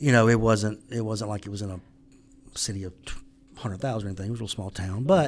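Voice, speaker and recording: With a Southern US accent, a man talks at a very fast pace and fairly low pitch, his intonation fairly even, broken by long, frequent pauses. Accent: Southern accent, noticeable. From US South, Mississippi. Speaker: business owner and author. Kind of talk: podcast interview.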